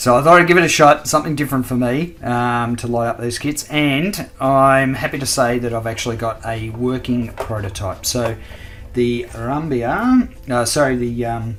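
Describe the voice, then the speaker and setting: With an Australian accent, a man talks at a moderate pace and medium pitch. Noticeable background noise is present. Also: ordinary pitch variation. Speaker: scale model builder, video host. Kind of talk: hobby tutorial. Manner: casual, many fillers.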